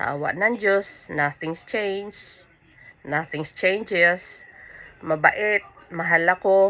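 The woman speaks at a very slow pace. Her pitch is medium. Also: ordinary pitch variation. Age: 50s. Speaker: vlogger. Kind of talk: casual vlog monologue.

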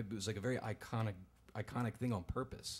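Here a man speaks at a fairly quick pace. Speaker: storyteller. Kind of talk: personal story told on stage. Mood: earnest, conflicted. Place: stage. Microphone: studio mic.

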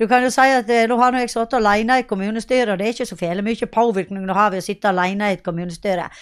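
Against a quiet background, a woman speaks fairly quickly in a medium-pitched voice with ordinary pitch variation. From western Norway, Sogn; western Norway. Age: 50s. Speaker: local politician. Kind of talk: interview. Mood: earnest, campaigning. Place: home room. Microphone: handheld.

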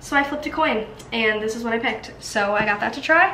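A woman's voice with ordinary pitch variation, light background noise and audible room echo. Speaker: college student vlogger. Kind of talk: casual vlog chat. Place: kitchen. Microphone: phone near.

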